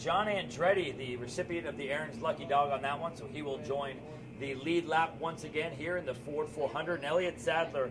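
A man's fairly high voice with ordinary pitch variation, a fairly quick pace and hardly any pauses, over noticeable background noise. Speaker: sports public address announcer. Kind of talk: live race-calling play-by-play. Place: booth. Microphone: headset.

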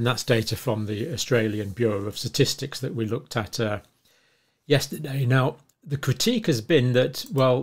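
A somewhat breathy man talks at a moderate pace with ordinary pitch variation. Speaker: health commentator. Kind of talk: lecture. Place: home room.

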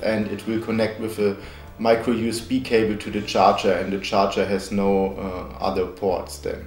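Faint music plays in the background, and there is audible room echo. A man speaks at a moderate pace with a fairly low pitch and fairly even intonation. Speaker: tech reviewer. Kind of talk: product review narration. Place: home room.

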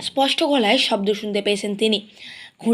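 The pitch rises and falls in an ordinary way. It belongs to a natural reading voice.

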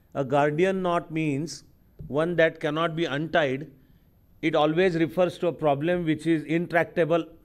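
The man's voice is fairly high and his intonation monotone and flat. He keeps a moderate pace against a quiet background. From India. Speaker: lecturer. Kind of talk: lecture. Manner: formal. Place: hall. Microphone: podium.

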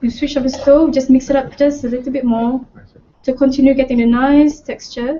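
The woman talks at a fairly quick pace with a high pitch. Light background noise can be heard. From Malaysia. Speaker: cooking show presenter. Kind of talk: cooking tutorial. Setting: studio. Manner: animated. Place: kitchen.

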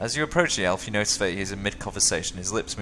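Lively intonation in plain reading aloud

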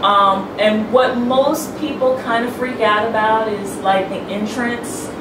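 A very slow pace of speech, audible room echo, and noticeable background noise. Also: woman. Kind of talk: interview answer. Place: home room.

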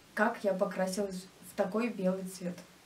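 A woman speaks at a moderate pace, with light background noise present. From Russia, Nizhny Novgorod; Russia. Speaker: YouTube crafts blogger; vlogger. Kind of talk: casual vlog Q&A. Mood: relaxed, friendly. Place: home room.

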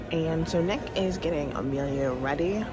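A woman's fairly low voice at a moderate pace, with ordinary pitch variation, a dry echo-free sound and noticeable background noise. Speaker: family vlogger. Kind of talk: casual vlog chat. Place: hall. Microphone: phone near.

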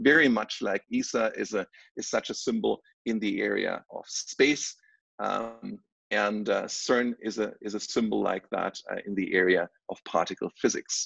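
A man's voice at a moderate pace, dry with no echo, over a quiet background. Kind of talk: presentation. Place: home room. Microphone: video call.

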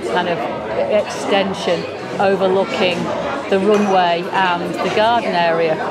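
A woman is speaking. Crowd noise can be heard behind her. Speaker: travel vlogger. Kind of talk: casual vlog walkthrough commentary. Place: bar. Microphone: phone near.

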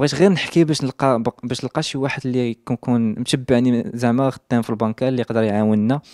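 Over a quiet background, a man with a dark, mellow tone speaks at a medium pitch and a fairly quick pace, keeping his intonation fairly even. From Morocco, Casablanca. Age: 20s. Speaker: social media influencer; interviewee. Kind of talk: interview testimony. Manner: halting. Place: home room. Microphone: handheld.

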